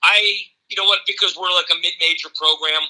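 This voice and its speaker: A bright, sharp tone at a fairly quick pace. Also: man. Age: 60s. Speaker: college baseball coach. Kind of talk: interview.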